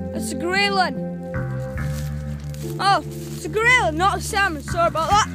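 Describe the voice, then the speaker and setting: A strong Scottish accent at a moderate pace, with long, frequent pauses, a dry sound with no echo, and clear music in the background. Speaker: family member filming a fishing dad. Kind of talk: casual commentary while filming. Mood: playful, joking. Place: waterside. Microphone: phone near.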